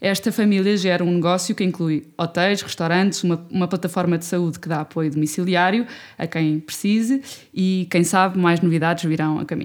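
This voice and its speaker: A woman speaks at a fairly quick pace with a fairly low pitch. The recording is very clean, with a silent background. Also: fairly even intonation. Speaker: podcast host. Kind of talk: interview. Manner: halting.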